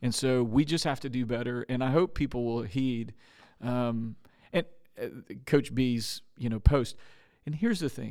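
A man speaks at a moderate pace and a medium pitch with ordinary pitch variation, leaving long, frequent pauses, on a very clean recording with a silent background. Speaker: podcast host. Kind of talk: casual interview chat.

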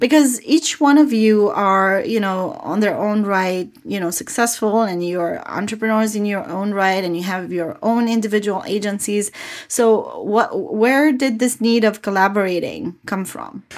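A woman speaks at a medium pitch with ordinary pitch variation. Her pace is moderate, with hardly any pauses. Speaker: podcast host. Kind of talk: interview. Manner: enthusiastic.

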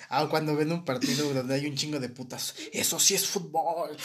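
There is noticeable background noise along with audible room echo. The speaker is a man. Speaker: podcast co-host. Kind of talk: casual chat. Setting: live stream. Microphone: poor quality mic.

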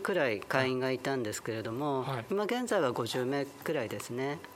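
Amid noticeable background noise, a man with a medium pitch speaks at a fairly slow pace using very wide pitch swings. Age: 50s. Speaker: LGBTQ advocacy group leader. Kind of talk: interview. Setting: community salon venue.

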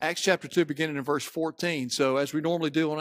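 On a very clean recording with a silent background, a man with a Mississippi accent speaks at a fairly high pitch with fairly even intonation. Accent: Southern US (Mississippi). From US South, Mississippi. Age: 50s. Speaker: pastor. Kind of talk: sermon. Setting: church.

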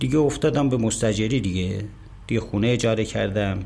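In a room with audible echo, a man speaks at a fairly quick pace with a fairly low pitch and ordinary pitch variation. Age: 50s. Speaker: company kitchen manager. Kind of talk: interview testimony.

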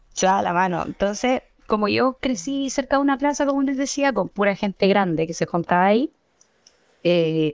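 A woman with a Chilean accent speaks with lively intonation in a dry, close sound with no echo, on a very clean recording with a silent background. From Chile, Santiago (Estación Central). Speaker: cannabis grower and educator. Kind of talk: casual chat.

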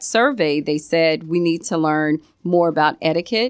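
A woman with an American accent has an ordinary speaking voice and a fairly low pitch. She speaks at a moderate pace, with a dry, close sound with no echo. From Virginia. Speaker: nonprofit founder. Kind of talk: radio interview.

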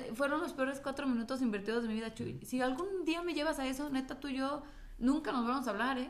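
Animated and at a very fast pace, a woman with a Mexican accent speaks at high pitch with ordinary pitch variation. Audible room echo surrounds her voice. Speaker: podcast host. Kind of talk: casual chat.

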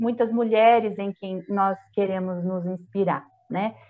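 At a very slow pace, a woman talks at a medium pitch. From Brazil, Itapeva (São Paulo state). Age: 40s. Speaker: prayer group coordinator. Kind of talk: podcast interview.

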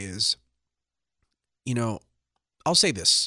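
Recorded very cleanly against a silent background, with a dry, close sound and no echo, a man speaks at medium pitch in a bright, sharp tone. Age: 30s. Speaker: wrestling podcast co-host. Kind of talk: casual chat.

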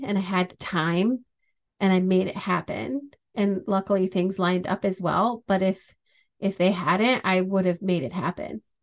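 At a moderate pace, a plain, everyday voice is heard over a quiet background. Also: woman. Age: 30s. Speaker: podcast host and hockey writer. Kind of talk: casual solo monologue.

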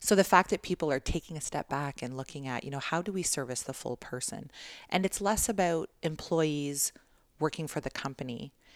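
Speaking with a Canadian accent at a fairly quick pace, a woman has a very deep, low pitch and ordinary pitch variation, in a very clean, dry and close recording with no echo and a silent background. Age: 40s. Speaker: corporate business development director. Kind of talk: casual interview. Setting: in person.

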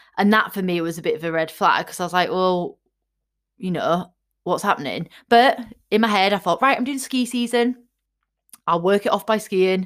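In an English accent, a woman talks at a moderate pace and medium pitch with lively intonation, leaving long, frequent pauses. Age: 30s. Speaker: fitness coach. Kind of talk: casual monologue. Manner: animated.

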